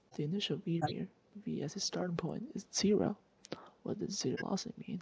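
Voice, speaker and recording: A quiet woman's voice at a fairly quick pace. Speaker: physics tutor. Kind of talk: casual screen-recorded lesson. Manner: hesitant, many filler words.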